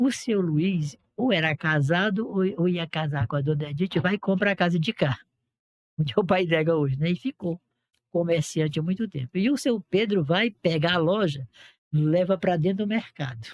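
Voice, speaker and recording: A man with a high pitch speaks at very even loudness. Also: ordinary pitch variation, moderate pace. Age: 70s. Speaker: local elder recounting town history. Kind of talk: casual podcast conversation, reminiscing.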